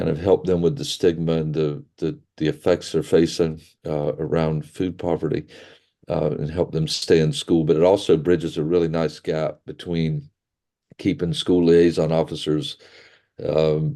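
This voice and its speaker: A man with a Southern US accent speaks at a moderate pace with a very deep, low pitch, a dark, mellow tone and fairly even intonation against a quiet background. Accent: American Southern. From US South, rural. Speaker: pastor and charity director. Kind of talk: webinar presentation. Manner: halting, many fillers and repetitions.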